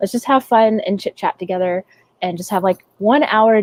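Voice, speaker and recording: A woman with a Southern US accent speaks at a fairly high pitch with ordinary pitch variation, in a dry, close sound with no echo. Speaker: artist streamer. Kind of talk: casual chat while drawing. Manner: casual, rambling with fillers.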